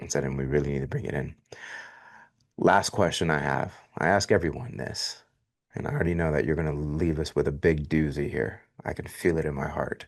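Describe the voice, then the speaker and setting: A man with a very deep, low pitch and an American accent, vocal fry, ordinary pitch variation, a fairly quick pace and long, frequent pauses. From Miami, Florida. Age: 40s. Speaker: podcast host. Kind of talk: interview.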